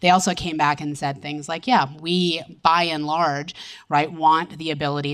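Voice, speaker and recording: A woman's very deep, low voice at a fairly quick pace, with ordinary pitch variation. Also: very clean recording, silent background. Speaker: privacy expert panelist. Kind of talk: panel discussion. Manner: fast.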